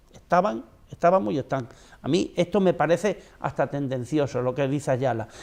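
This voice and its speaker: Lively intonation carries the words along at a fairly quick clip. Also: man, fairly high pitch for a man. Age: 60s. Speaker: political commentator. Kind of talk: TV debate panel. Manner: animated.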